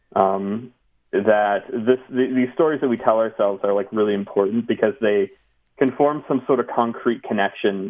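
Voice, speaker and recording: A man speaks at a moderate pace with fairly even intonation and a medium pitch. He has a plain, everyday voice. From US, moved around; teen years in North Jersey. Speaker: video game developer. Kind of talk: casual interview chat.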